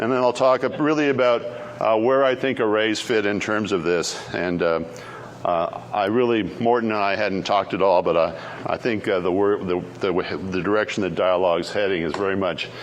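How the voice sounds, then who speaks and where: The speaker has an American accent, heard with audible room echo and noticeable background noise. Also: man, fairly low pitch for a man, ordinary pitch variation. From Canada. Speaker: keynote speaker, software engineer. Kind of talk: conference keynote talk. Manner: fast.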